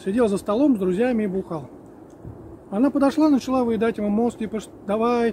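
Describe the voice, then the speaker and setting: A man with a high pitch and ordinary pitch variation is heard in a dry recording with no echo and light background noise. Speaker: outdoor vlogger, storyteller. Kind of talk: casual vlog chat, storytelling. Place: forest.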